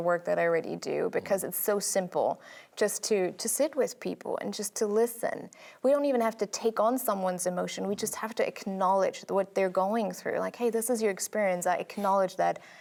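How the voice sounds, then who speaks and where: With hardly any pauses, a woman talks at a fairly quick pace and medium pitch, keeping her intonation fairly even. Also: very clean recording, silent background. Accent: German. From Germany. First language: German. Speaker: sociologist. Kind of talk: TV interview.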